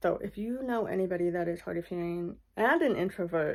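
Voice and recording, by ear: With a slightly mellow tone and vocal fry, the speaker moves at a moderate pace and keeps a fairly even intonation. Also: woman.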